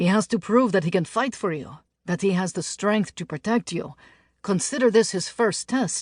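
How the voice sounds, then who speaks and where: A woman puts on a gruff character voice at medium pitch and a moderate pace, with a quiet background. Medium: read story. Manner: dry, gruff.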